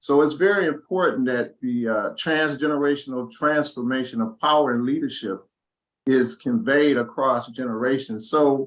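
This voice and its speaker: Here is a man with a plain, everyday voice. His pitch is fairly high with ordinary variation. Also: moderate pace. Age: 60s. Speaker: discussion host. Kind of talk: panel discussion.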